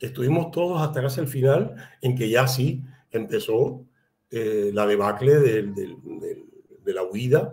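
Speaking at a fairly slow pace, a man has a medium pitch. His tone is dark, mellow and somewhat breathy. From Cuba, Havana; Cuba. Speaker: writer and playwright; guest. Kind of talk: interview. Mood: reflective, calm. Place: home room.

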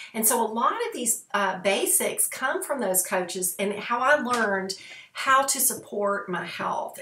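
A woman talks at a moderate pace, and audible room echo follows her words. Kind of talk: casual vlog talk. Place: home room. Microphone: webcam.

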